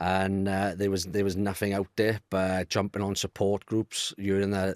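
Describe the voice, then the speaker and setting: A man with a Welsh accent speaks at a moderate pace and a fairly low pitch, in a monotone, flat intonation with very even loudness. The recording is very clean with a silent background, and the sound is dry and close with no echo. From Wales, near Cardiff. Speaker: male fertility awareness advocate. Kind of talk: podcast conversation. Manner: halting, with frequent repetitions.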